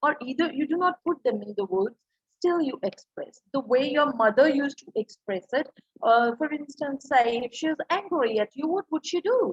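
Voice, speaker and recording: In a Punjabi accent, a woman talks at a moderate pace with a high pitch and very wide pitch swings, in a dry, close sound with no echo. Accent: Indian English, Punjabi. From India, Punjab. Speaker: English professor, communication trainer. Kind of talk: lecture.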